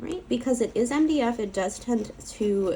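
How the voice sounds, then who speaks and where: Moderate pace from a woman's voice amid noticeable background noise. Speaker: crafter. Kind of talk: product review talk to camera. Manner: casual, hesitant with fillers.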